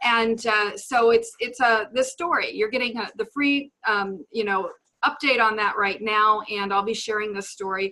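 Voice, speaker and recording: Speaking at a moderate pace in a Minnesotan accent, a woman has a fairly high pitch, ordinary pitch variation, and a bright, sharp tone. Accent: Minnesota. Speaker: real estate investor and coach. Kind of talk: webinar presentation. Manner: halting, many fillers.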